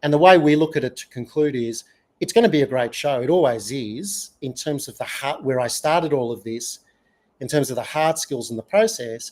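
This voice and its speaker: A man with an Australian accent, fairly high pitch, lively intonation, big swings in loudness and a fairly quick pace. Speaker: UX consultant and author. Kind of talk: podcast interview.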